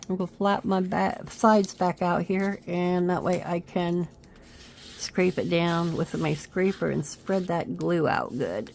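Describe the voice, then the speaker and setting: A woman speaks fairly slowly in a plain, everyday voice. Her pitch sits fairly low, with fairly even intonation. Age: 50s. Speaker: craft video creator. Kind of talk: crafting tutorial. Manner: casual, chatty.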